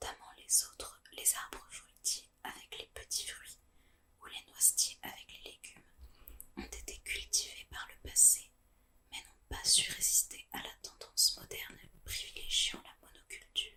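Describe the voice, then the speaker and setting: Someone is whispering. The pace is fairly slow. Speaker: ASMR channel host. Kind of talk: whispered reading aloud of an informative text on permaculture. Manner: whispered, soft-spoken.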